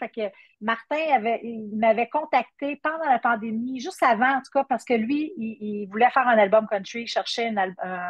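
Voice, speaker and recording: Speaking at a fairly quick pace in a Quebec accent, a woman with high pitch and ordinary pitch variation shows big swings in loudness. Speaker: country singer. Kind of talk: interview. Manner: halting.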